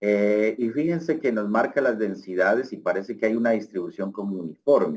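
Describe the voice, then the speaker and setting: At a fairly quick pace, a plain, everyday voice moves with lively intonation. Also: man, fairly low pitch for a man. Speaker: researcher. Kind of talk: lecture. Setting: online lecture.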